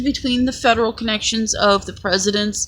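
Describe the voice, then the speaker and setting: Somewhat breathy and fairly high in pitch, a woman speaks with fairly even intonation. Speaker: vlogger. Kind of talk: personal monologue.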